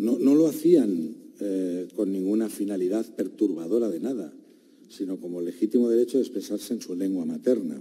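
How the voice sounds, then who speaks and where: A man with a Catalan accent at a moderate pace. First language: Catalan (speaking Spanish). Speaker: defense lawyer. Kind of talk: courtroom argument. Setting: courtroom. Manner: formal.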